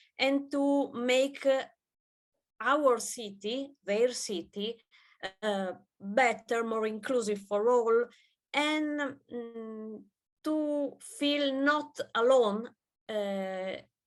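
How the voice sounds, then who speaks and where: A woman with an Italian accent speaks at a high pitch with ordinary pitch variation. Her pace is very slow, with long, frequent pauses. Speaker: gender researcher. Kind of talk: conference presentation. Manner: halting, many fillers.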